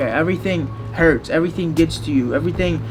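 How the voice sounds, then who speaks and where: Over background music, a man with a fairly high voice talks at a fairly quick pace. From immigrant to the US as a child. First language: not English (third language). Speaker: car YouTuber. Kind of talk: documentary interview. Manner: casual, filler-heavy.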